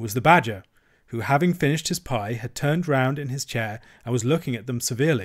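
Plain reading aloud with pitch varying an ordinary amount

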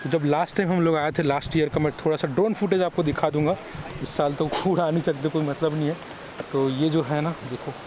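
With noticeable background noise, a man speaks at a fairly quick pace. His intonation is fairly even, in a dry sound with no echo. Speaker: vlogger. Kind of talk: casual vlog chat. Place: waterside. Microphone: phone near.

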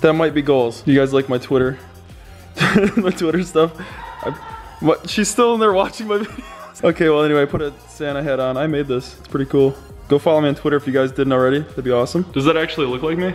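Speaking at a very fast pace with ordinary pitch variation, a man is heard over faint background music. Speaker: vlogger. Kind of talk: casual vlog chat. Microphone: phone near.

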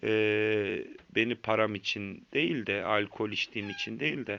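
With ordinary pitch variation, a man speaks at a fairly low pitch. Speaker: vlogger sharing addiction story. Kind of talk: personal testimony monologue. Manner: hesitant, many filler sounds.

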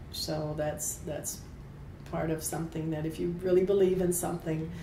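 Over light background noise and audible room echo, a woman with an American accent speaks at a moderate pace in a fairly low, flat, monotone voice. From US South (Kentucky, Appalachia); US South. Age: 70s. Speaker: retired airline worker and union member; interviewee. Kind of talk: oral history interview. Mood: warm, smiling.

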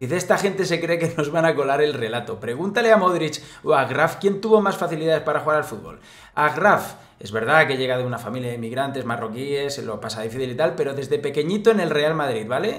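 A man speaks at a very fast pace with fairly high pitch. His tone is animated. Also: lively intonation, quiet background. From Spain. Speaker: football commentator youtuber. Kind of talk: casual commentary to camera, sports news. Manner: animated, sarcastic, informal. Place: home room.

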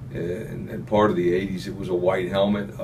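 The speaker is a man with a fairly low pitch. He talks at a moderate pace against light background noise. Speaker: football coach. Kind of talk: interview answer. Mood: relaxed, upbeat. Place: office.

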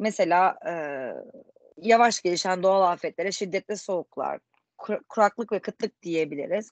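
A woman at a moderate pace with ordinary pitch variation, in a dry sound with no echo against a quiet background. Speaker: student. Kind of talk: presentation. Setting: video call. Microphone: video call.

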